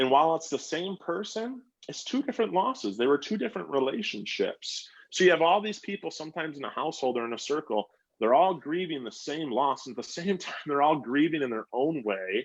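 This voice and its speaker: Speaking at a fairly quick pace, a man uses a fairly high voice with vocal fry and very wide pitch swings. The background is quiet. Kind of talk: casual chat. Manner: passionate.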